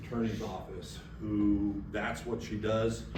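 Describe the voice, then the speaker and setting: Audible room echo and noticeable background noise accompany a man talking fairly slowly. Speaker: retired police officer, security expert. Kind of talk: seminar presentation. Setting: seminar room with live audience. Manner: casual, filler-heavy.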